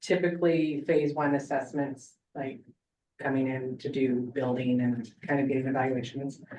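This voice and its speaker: A woman speaks at a moderate pace in a very deep, low voice with a dark, mellow tone and fairly even intonation. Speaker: public records officer. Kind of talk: report at board meeting.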